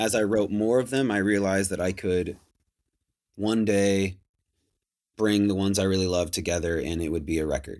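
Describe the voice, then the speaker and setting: A man with an American accent speaks at a moderate pace in a fairly low pitch, with ordinary pitch variation and long, frequent pauses. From Washington State, US Pacific Northwest. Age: 30s. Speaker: musician. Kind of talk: casual chat. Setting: video call.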